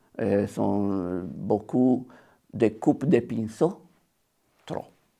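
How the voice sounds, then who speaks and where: A man with an Italian accent speaks in a dark, mellow tone with vocal fry and ordinary pitch variation, on a very clean recording with a silent background. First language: Italian (speaking French). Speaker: watercolour painter. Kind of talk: interview. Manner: halting, many hesitations.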